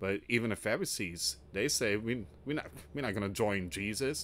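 Fairly low in pitch, a man speaks at a fairly quick pace. His pitch varies in an ordinary way. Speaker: news commentary channel host. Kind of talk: commentary. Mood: somber, earnest. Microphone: studio mic.

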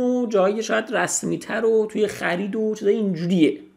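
Against a quiet background, a man speaks in a high voice with ordinary pitch variation. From Iran. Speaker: language teacher. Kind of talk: tutorial. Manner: casual. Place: home room. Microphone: studio mic.

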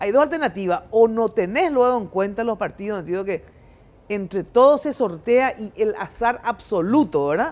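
At a moderate pace, a woman speaks in a fairly high pitch with lively intonation. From Paraguay. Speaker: TV talk show host. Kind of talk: political panel discussion. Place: studio. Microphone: lapel.

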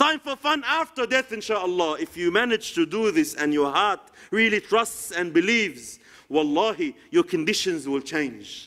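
In an Arabic accent, the speaker uses a raised, projected voice with a bright, sharp tone and very wide pitch swings. The pace is moderate, and the background is quiet. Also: man, high pitch for a man. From Egypt. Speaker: Islamic preacher. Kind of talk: sermon. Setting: lecture hall with audience. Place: hall.

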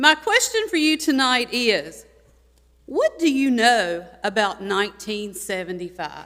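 A loud woman with a North Carolina accent, high-pitched, with very wide pitch swings at a fairly slow pace. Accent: Southern US (North Carolina). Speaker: retired teacher. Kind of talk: public comment speech. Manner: animated.

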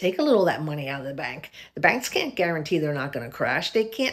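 Very wide pitch swings mark a woman's voice. The background is quiet. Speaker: video blogger sharing a faith-based warning dream. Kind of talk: casual vlog chat, preachy testimony. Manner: casual, earnest, conversational storytelling. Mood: earnest, urgent warning. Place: home room. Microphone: phone near.

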